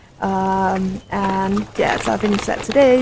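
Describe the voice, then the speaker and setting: Against noticeable background noise, a woman speaks in a monotone, flat intonation. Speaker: documentary filmmaker. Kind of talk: casual vlog talk to camera.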